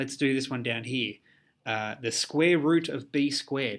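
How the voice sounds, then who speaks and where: In a very clean recording with a silent background, a man with a plain, everyday voice speaks at a moderate pace, his pitch fairly high and its variation ordinary. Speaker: maths teacher. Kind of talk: tutorial.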